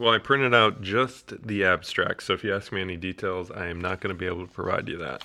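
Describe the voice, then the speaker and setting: Loud and very fast with hardly any pauses, a man speaks with a very deep, low pitch, ordinary pitch variation and a bright, sharp tone. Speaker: oncologist. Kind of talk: casual chat. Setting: studio.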